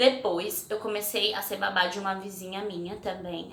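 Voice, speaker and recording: A woman is speaking. Noticeable noise sits in the background. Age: 20s. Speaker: vlogger. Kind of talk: casual personal storytelling vlog. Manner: chatty, conversational.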